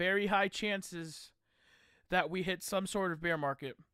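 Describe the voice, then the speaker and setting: The speech moves at a moderate pace with fairly even intonation and a bright, sharp tone, in a dry, close sound with no echo on a very clean recording with a silent background. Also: man. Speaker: crypto YouTuber. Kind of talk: live stream commentary. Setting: live stream. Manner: halting.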